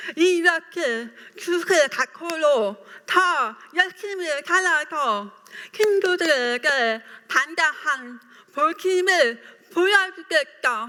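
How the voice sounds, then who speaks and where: A woman's raised, projected voice at an extremely high pitch, very slow in pace, with lively intonation and very even loudness. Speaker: writer, deaf speaker. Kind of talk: public talk.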